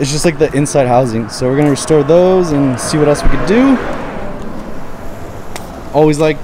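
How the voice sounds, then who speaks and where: Noticeable background noise runs under the recording. A man speaks at a moderate pace with ordinary pitch variation. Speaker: car vlogger. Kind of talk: casual vlog chat. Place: street. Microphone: phone near.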